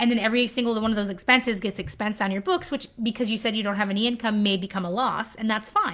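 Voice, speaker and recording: With an American accent, a woman talks at a very fast pace and a fairly high pitch, with hardly any pauses and fairly even intonation, over noticeable background noise. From US Pacific Northwest (Washington state). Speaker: accountant. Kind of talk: live Q&A stream.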